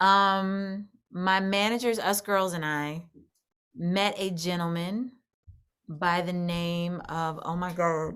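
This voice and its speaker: Keeping fairly even intonation, a woman speaks at a very slow pace with a fairly low pitch. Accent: American. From US Midwest, St. Louis, Missouri. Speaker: country singer. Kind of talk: interview. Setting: video call.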